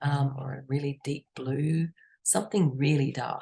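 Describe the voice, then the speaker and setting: A woman's somewhat breathy voice, very deep and low in pitch, with ordinary pitch variation. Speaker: art teacher. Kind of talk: tutorial. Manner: casual, chatty.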